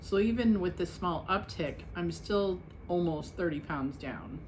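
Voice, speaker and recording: A woman at a fairly slow pace, with audible room echo. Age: 60s. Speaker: weight-loss vlogger. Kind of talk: casual vlog check-in. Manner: casual, chatty.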